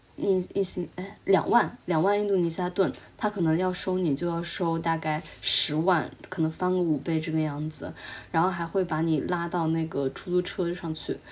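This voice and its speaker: In a plain, everyday voice, a woman speaks at a moderate pace, fairly low in pitch, with fairly even intonation. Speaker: podcast co-host, traveler. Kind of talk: casual chat.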